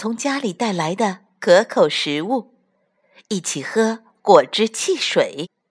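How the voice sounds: A natural reading voice comes through against a quiet background.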